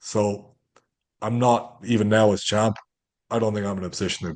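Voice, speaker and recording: A man speaks with an Irish accent. His pitch is very deep and low, against a quiet background. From Ireland. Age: 30s. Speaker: MMA fighter. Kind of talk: interview. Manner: animated.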